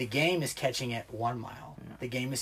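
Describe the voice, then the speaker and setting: With an American accent, a man talks at a fairly quick pace. His medium-pitched voice is somewhat breathy. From US Midwest, small-town Ohio. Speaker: Marine Corps veteran. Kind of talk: casual chat.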